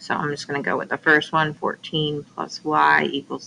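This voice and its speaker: A woman's voice over noticeable background noise. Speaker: math teacher. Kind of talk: tutorial.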